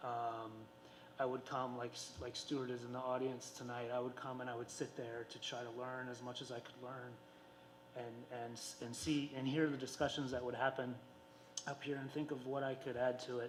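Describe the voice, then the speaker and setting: A man speaks at a medium pitch in a flat, monotone delivery. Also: moderate pace. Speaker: school board member. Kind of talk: farewell tribute speech at public meeting. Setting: school board meeting with audience. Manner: halting, many fillers.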